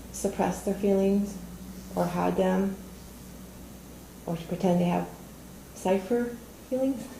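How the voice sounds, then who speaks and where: Audible room echo hangs around the voice of a woman as she talks. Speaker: toastmasters club member giving a speech. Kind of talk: prepared speech. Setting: studio with audience.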